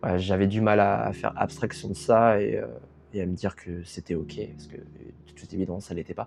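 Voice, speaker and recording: A man talks at a fairly quick pace in a very deep, low voice with vocal fry, ordinary pitch variation and big swings in loudness. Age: 20s. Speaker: documentary subject. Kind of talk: interview testimony. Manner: halting.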